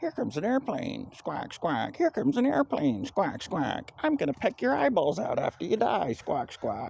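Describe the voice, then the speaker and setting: A put-on character voice at a middle pitch runs on with hardly any pauses. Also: moderate pace. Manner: squawking, mocking.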